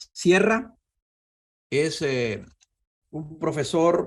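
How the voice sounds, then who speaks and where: Vocal fry in a man's fairly high voice, with lively intonation. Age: 70s. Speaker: physics professor. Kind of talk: lecture.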